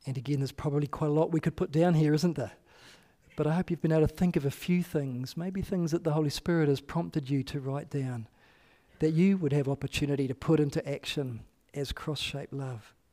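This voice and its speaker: On a very clean recording with a silent background, a man with a New Zealand accent talks at a fairly quick pace, his fairly high-pitched voice dark and mellow in tone, with fairly even intonation. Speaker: pastor. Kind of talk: sermon. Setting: church.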